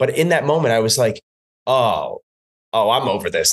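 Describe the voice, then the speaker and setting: With an American accent, this man speaks at a fairly quick pace and medium pitch. He has a normal speaking voice. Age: 30s. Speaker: fitness instructor. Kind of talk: casual chat.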